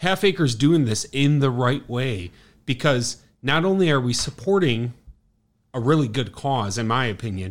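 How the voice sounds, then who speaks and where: With a Chicago accent, a man at medium pitch talks at a moderate pace, his voice making very wide pitch swings in a very clean recording with a silent background. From Chicago South Side. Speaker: brewery sales rep. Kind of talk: casual chat. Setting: bar.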